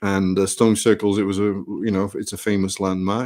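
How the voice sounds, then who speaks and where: A man's fairly low voice at a fairly quick pace, dry and close with no echo. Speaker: travelling folk singer-songwriter. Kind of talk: casual chat between songs at a live performance. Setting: live stream performance, solo at home. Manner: hesitant, many fillers.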